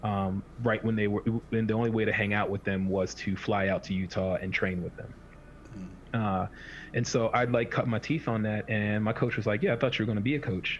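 A man with an American accent has an ordinary speaking voice, fairly low in pitch. He talks at a moderate pace with fairly even intonation. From Washington D.C. area. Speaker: podcast co-host, strength coach. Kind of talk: casual chat.

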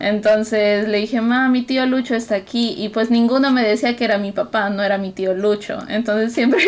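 A woman with a fairly high pitch talks fairly quickly and with fairly even intonation, noticeable background noise present throughout. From Peru. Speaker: podcast co-host. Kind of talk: casual chat.

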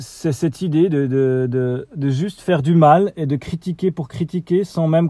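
The man's fairly high pitch carries a dark, mellow tone and ordinary pitch variation at a fairly slow pace, in a dry, close sound with no echo. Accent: Swiss. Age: 40s. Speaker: podcaster. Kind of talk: solo vlog rant. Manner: halting, many hesitations.

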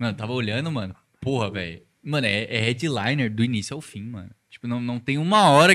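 At a fairly quick pace, a man speaks with a bright, sharp tone, lively intonation and a medium pitch. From Brazil, São Paulo. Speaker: podcast co-host and DJ. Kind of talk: casual chat.

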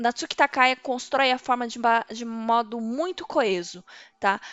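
At a moderate pace, a woman uses a normal speaking voice with a fairly high pitch and ordinary pitch variation. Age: 30s. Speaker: podcast host. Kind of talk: solo commentary podcast. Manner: casual, conversational.

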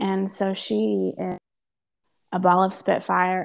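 A woman with a normal speaking voice and fairly low pitch talks with lively intonation. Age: 30s. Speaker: podcast co-host, mother of three. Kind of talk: casual chat.

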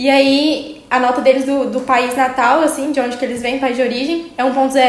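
Fairly even intonation amid noticeable background noise and audible room echo. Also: woman. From Brazil, small town in Minas Gerais. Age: 20s. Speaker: medical student. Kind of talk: casual interview.

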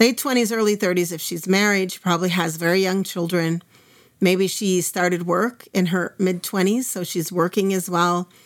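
In a very clean recording with a silent background, a woman with a plain, everyday voice speaks at a moderate pace in an American accent, her medium pitch and fairly even intonation. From US Midwest, Minnesota. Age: 50s. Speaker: Islamic studies teacher. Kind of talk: interview conversation.

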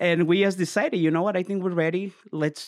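A man with a Spanish accent is heard in a very clean recording with a silent background. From Mexico. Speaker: mortgage broker. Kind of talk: casual interview. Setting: on location.

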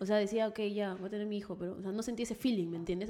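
Very fast female voice at a medium pitch with fairly even intonation. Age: 20s. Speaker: social media influencer. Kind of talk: casual chat.

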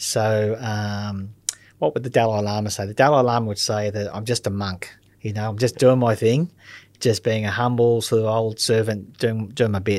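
A man with an Australian accent speaks at a moderate pace, his pitch fairly low and his intonation fairly even. The recording is very clean, with a silent background. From Australia, Melbourne. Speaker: critical care paramedic. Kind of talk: interview. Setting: studio.

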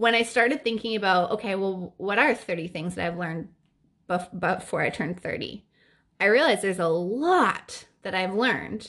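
A woman speaks at a moderate pace in a warm, upbeat tone, her medium-pitched voice showing ordinary pitch variation over a quiet background. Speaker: podcast host. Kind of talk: solo podcast monologue.

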